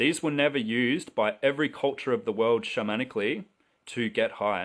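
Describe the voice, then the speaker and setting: Lively intonation marks this man's medium-pitched voice, delivered in an Australian accent at a fairly quick pace. His loudness stays very even against a quiet background. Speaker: livestreamer selling mushroom supplies. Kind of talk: live stream monologue. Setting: live video stream.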